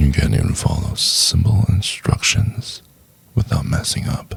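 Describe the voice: Using a put-on character voice with a low pitch, a man speaks at a fairly slow pace with vocal fry, a husky, rough edge and big pitch swings.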